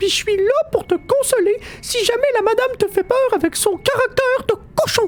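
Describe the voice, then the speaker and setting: A man's put-on character voice, extremely high in pitch, at a moderate pace over light background noise. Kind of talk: audio drama.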